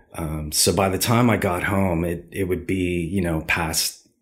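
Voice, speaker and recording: A man speaks with a very deep, low voice on a very clean recording with a silent background. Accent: Californian. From Southern California. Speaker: street artist. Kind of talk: interview.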